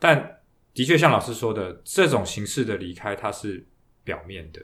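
An unremarkable speaking voice from a man, fairly low in pitch and fairly slow in pace. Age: 40s. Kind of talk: podcast interview. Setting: studio.

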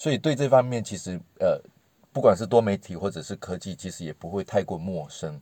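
A man speaks fairly quickly with lively intonation and a fairly low pitch. His tone is dark and mellow. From Malaysia. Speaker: multimedia worker and parent. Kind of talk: casual chat.

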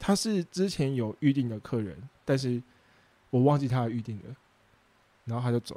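A man speaking with a Taiwanese accent, medium in pitch, dark and mellow in tone, with lively intonation and long, frequent pauses, on a very clean recording with a silent background. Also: moderate pace. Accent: Taiwanese Mandarin. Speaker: food truck owner and podcast host. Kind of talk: casual solo talk with live chat.

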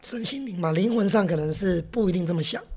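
Speaking at a moderate pace, a woman uses a medium pitch and lively intonation. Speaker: restaurant chain executive. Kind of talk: interview. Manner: gruff, big-brother style.

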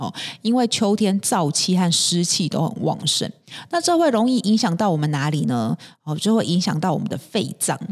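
A woman's lively intonation rises and falls around a medium pitch as she talks at a moderate speed. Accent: Taiwanese. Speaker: podcast host. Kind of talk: health tips talk. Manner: many fillers and hesitations.

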